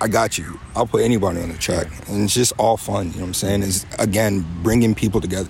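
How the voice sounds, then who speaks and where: Intonation stays fairly even at a very fast pace. There is noticeable background noise. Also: man, fairly low pitch for a man. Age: 30s. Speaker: rapper and military member. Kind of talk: casual interview. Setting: live music event.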